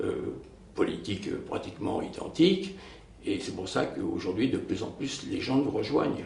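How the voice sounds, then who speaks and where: Moderate pace from a male speaker, set against noticeable background noise and audible room echo. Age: 70s. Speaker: local political candidate. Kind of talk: press interview. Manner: hesitant, many filler sounds.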